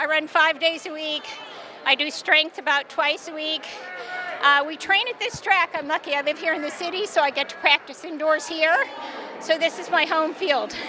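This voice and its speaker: With noticeable background noise behind her, a woman projects a raised voice at an extremely high pitch, using fairly even intonation at a moderate pace. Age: 60s. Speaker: masters track athlete. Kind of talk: interview. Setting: indoor track venue.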